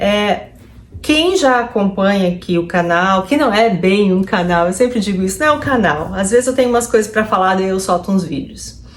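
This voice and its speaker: Through noticeable background noise comes a woman's medium-pitched voice with ordinary pitch variation. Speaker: psychologist vlogger. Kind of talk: personal vlog. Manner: slow.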